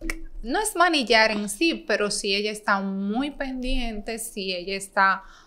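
Speaking at a fairly slow pace, a woman uses lively intonation in a fairly high voice with a bright, sharp tone. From Dominican Republic, San Pedro de Macorís; Dominican Republic. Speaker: bank manager; podcast guest. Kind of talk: casual interview. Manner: talkative. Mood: relaxed, warm. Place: studio. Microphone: studio mic.

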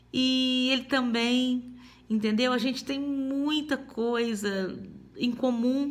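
A woman speaks at a very slow pace. Her pitch is high, with ordinary variation. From Minas Gerais, Brazil. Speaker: testimony giver. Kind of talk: testimony. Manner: halting. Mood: warm, animated, smiling. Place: home room. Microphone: phone near.

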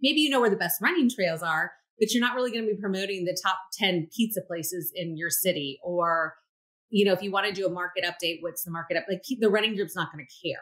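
A woman with an American accent at a very fast pace, against a quiet background. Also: medium pitch for a woman, ordinary pitch variation. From California. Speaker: real estate agent and coach; coach. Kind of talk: interview. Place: home room. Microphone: webcam.

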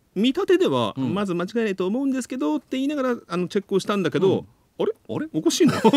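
A man with a high voice talks very fast, his pitch swinging very widely. The background is quiet and the sound is dry with no echo. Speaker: voice actor. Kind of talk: casual radio talk show banter. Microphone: studio mic.

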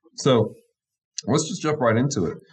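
A somewhat breathy man at a moderate pace against a quiet background. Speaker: pastor. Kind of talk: Bible study discussion. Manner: enthusiastic. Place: home room. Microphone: studio mic.

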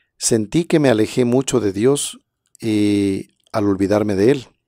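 A man's dark, mellow voice with fairly low pitch and ordinary pitch variation at a fairly slow pace, dry sound with no echo, and a quiet background. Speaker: presenter. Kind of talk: livestream talk with testimonies and prayer. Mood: warm, devotional. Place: studio. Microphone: studio mic.

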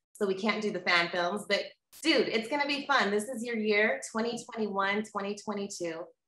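A woman talks at a fairly slow pace with ordinary pitch variation. Audible room echo surrounds her voice. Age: 40s. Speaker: interviewer. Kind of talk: casual chat. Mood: upbeat, encouraging. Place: home room. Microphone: webcam.

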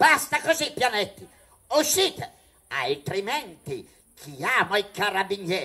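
A man raises and projects his high voice, his pitch swinging very widely. He goes fairly slowly, with long, frequent pauses. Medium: read story. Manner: curt, angry.

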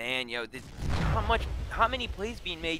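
There is noticeable background noise. Over it, a man talks in an animated tone. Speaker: esports caster. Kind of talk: live commentary.

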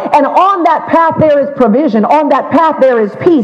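Amid light background noise, a man speaks at a fairly slow pace with lively intonation. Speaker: pastor. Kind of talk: sermon opening prayer. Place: church.

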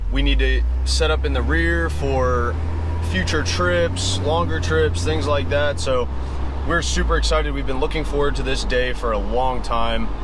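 At a fairly slow pace, a man's voice moves in very wide pitch swings, the sound dry with no echo and noticeable background noise. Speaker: vehicle build vlogger. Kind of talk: casual vlog chat. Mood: excited, upbeat. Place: car. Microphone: phone near.

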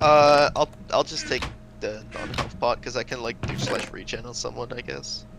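There is noticeable background noise as the man talks at a moderate tempo. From Netherlands. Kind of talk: casual chat while gaming.

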